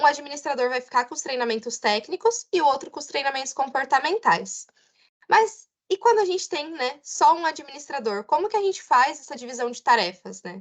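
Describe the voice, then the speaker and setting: A woman speaks with a high pitch and very wide pitch swings, her loudness rising and falling sharply in a dry, close recording with no echo. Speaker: customer success trainer. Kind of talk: online webinar presentation. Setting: online webinar with chat.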